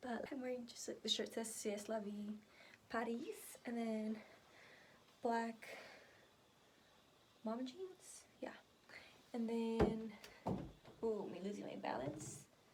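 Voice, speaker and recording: With an American accent, a woman speaks very slowly in a fairly high voice with ordinary pitch variation and long, frequent pauses, amid audible room echo. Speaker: lifestyle vlogger. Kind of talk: vlog. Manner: casual, filler-heavy.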